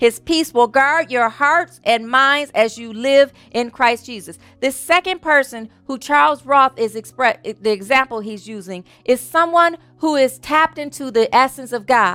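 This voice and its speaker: On a very clean recording with a silent background and a dry, close sound with no echo, a woman projects a raised, high-pitched voice at a moderate pace, with lively intonation and big swings in loudness. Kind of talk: fervent prayer of thanksgiving, spoken aloud in a church service. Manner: rhythmic, repetitive, heartfelt, affirming, building with each thank-you.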